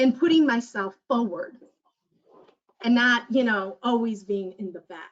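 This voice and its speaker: Speaking at a moderate pace, a woman has a Spanish accent. Her pitch is high. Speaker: community health worker and mentor. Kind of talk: panel discussion, personal testimony. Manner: halting, many fillers and restarts.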